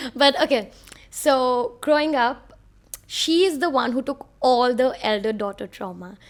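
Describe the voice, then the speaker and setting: The speaker has a Mumbai accent. The intonation is lively. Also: woman, high pitch for a woman, fairly slow pace. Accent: Mumbai Indian English. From India (Bhopal, then Mumbai). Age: 20s. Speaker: podcast host. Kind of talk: casual monologue. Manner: animated.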